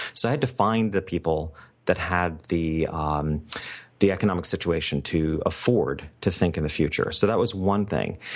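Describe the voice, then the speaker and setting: Speaking at a moderate pace, a man with a very deep, low pitch shows ordinary pitch variation. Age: 50s. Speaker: family photographer and business coach. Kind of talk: interview.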